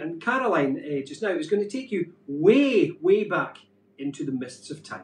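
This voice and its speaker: A man speaks with light background noise behind him. Room echo is audible. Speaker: show co-host. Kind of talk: presenting a live show. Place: home room. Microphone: camera far.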